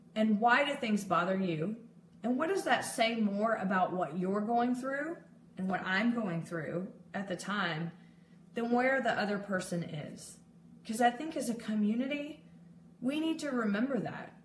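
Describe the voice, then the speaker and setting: Speaking at a fairly slow pace in a medium pitch, a woman sounds animated, her intonation lively, with audible room echo and noticeable background noise. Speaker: mental health advocate and peer support specialist. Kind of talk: live video talk. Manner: loud.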